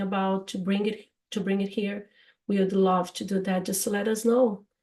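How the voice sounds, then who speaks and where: In a strong Brazilian accent, a woman talks with a dark, mellow tone that is somewhat breathy. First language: Portuguese. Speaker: podcast host, English teacher. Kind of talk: casual chat. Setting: live stream. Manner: halting.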